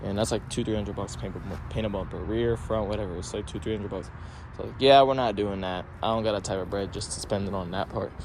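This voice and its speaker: In a room with audible echo, a man speaks at a very fast pace, his pitch fairly low with ordinary variation. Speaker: car enthusiast vlogger. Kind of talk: casual vlog rant.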